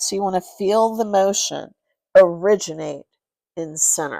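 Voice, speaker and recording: A woman speaks in a calm tone with ordinary pitch variation, captured in a very clean recording with a silent background. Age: 60s. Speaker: yoga instructor. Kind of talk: guided yoga class. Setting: live-streamed class. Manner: calm, instructional.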